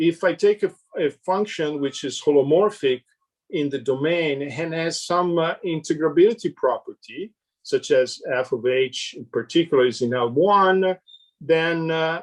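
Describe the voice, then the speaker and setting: A high-pitched man's voice with ordinary pitch variation at a fairly slow pace, dry and close with no echo. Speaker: mathematician. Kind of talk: lecture. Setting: conference talk. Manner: halting.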